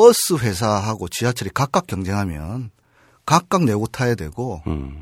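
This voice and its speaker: In a dry, close recording with no echo and a silent background, a man talks fairly slowly in a fairly low pitch with very wide pitch swings. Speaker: railway union leader. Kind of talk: interview.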